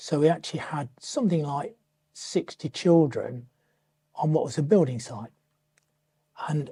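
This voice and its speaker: A man talks at a moderate pace in a fairly high pitch, with ordinary pitch variation. His tone is dark and mellow, and somewhat breathy. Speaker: retired teacher. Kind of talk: interview answer.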